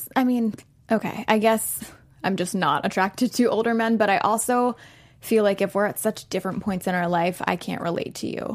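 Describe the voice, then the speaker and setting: Speaking at a fairly quick pace, a woman with an unremarkable speaking voice keeps a medium pitch and fairly even intonation. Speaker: co-host. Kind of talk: casual chat.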